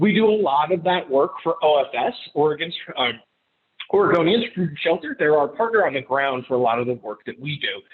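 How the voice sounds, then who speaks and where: A man with a fairly high pitch talks at a fairly quick pace, his intonation lively. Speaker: public relations consultant. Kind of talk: presentation. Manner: fast; loud.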